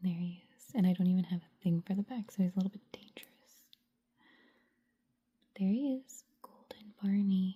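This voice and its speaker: A calm, gentle tone at a moderate pace, broken by long, frequent pauses. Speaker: ASMR creator. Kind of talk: ASMR show and tell, casual talk to camera. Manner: soft-spoken, calm, gentle.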